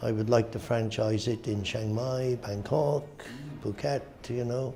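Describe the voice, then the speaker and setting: A man with a Welsh accent, set against noticeable background noise. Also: medium pitch for a man, fairly even intonation, fairly slow pace. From Wales. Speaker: auctioneer. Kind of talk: interview answer. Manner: casual, hesitant.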